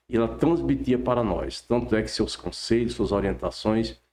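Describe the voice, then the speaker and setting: His voice sits at a fairly low pitch with vocal fry. The man's intonation is lively. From Brazil, Rio Grande do Norte (Caicó, Seridó). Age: 70s. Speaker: pastor. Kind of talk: testimony.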